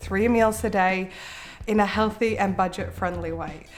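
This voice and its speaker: A woman with an Australian accent talks with fairly even intonation. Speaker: cooking and meal-planning YouTuber. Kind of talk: vlog-style tutorial.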